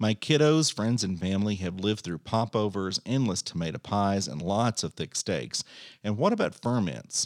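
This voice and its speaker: A man with a Texan accent speaks at a moderate pace, his fairly low voice lively in intonation. The very clean recording has a silent background and a dry, close sound with no echo. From Central Texas, Bosque County. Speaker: podcast host, amateur home cook. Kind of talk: scripted narration.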